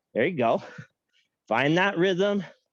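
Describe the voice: A man talks slowly in a high voice. His intonation is lively.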